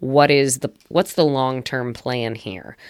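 A woman with a very deep, low pitch and ordinary pitch variation on a very clean recording with a silent background. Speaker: attorney and podcast host. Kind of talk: conversational podcast discussion.

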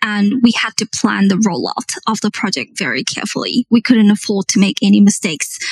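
With vocal fry and hardly any pauses, a woman talks at a fairly quick pace and medium pitch with ordinary pitch variation, in a dry, close sound with no echo. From South Africa. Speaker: project manager. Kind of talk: interview.

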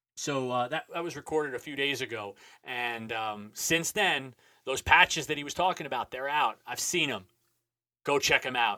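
An energetic man talks at a moderate pace with a fairly high pitch and ordinary pitch variation. His bright, sharp tone sounds dry and close, with no echo. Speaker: podcast host. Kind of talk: casual interview.

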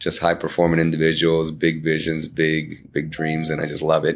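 A man with a Spanish accent talks at a moderate pace in a very deep, low pitch. The recording is very clean, and the background is silent. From Boston, Massachusetts. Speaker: entrepreneur and author. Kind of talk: casual interview.

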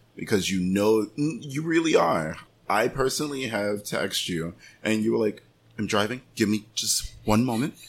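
This man has an unremarkable speaking voice at a fairly low pitch. He talks at a moderate pace with lively intonation. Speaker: real estate agent and podcast host. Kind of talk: casual podcast interview.

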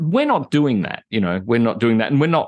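A man with an Australian accent talks at a very fast pace in a medium pitch, his pitch varying in an ordinary way over a quiet background. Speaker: retired software engineering executive living on a boat. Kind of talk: casual interview chat.

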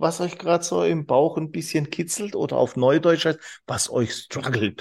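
On a very clean recording with a silent background, a man speaks with vocal fry at a fairly high pitch. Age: 40s. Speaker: business trainer and managing director. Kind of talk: casual interview. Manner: animated.

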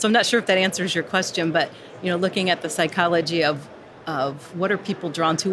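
A woman with a normal speaking voice, fairly low in pitch and fairly even in intonation. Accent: American. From US. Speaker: instructional designer. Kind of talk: casual interview. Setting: recorded live at a conference.

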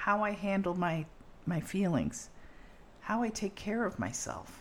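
The speaker here is a woman. She talks at a rather slow pace. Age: 60s. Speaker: podcast host. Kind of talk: casual conversational podcast.

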